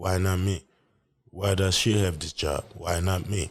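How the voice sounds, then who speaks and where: A man speaks with a very deep, low pitch and a somewhat breathy quality, his intonation fairly even. The pace is moderate, and the recording is very clean with a silent background. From West Africa, raised also in Saudi Arabia and Europe. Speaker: podcaster. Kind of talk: solo podcast monologue. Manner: reflective, conversational.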